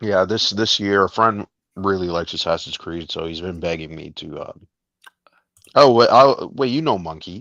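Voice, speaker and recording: A man with a normal speaking voice talks at a moderate pace with fairly low pitch. His intonation is lively, with big swings in loudness. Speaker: small YouTube gaming creator. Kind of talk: casual chat.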